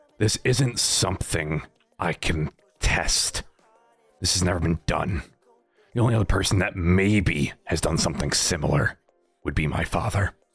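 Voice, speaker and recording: Using a put-on character voice, a raspy man with a very deep, low pitch speaks at a moderate pace with long, frequent pauses over faint music in the background. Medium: machinima. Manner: terse, guarded, short answers.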